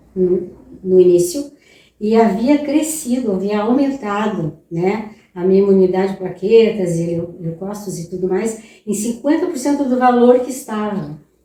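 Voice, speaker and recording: A woman speaks at a fairly slow pace, her pitch fairly high and her intonation lively. Some room echo can be heard. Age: 70s. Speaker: patient giving testimonial. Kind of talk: testimony.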